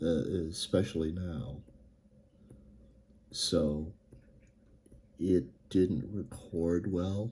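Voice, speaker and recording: A man speaks very slowly with long, frequent pauses, in a very deep, low pitch with ordinary pitch variation. His tone is dark, mellow and somewhat breathy. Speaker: writer vlogger. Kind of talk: casual writing vlog. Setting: home recording, fan turned off. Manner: halting, many fillers.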